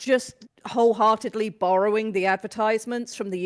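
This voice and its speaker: Speaking with a British accent, a woman uses a medium pitch and ordinary pitch variation. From UK. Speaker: new wrestling fan. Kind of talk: casual podcast chat.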